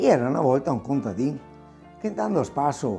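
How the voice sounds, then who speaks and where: Over music in the background, a man with a Venetian accent talks at a moderate pace. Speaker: grandfather storyteller. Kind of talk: folk tale telling to children.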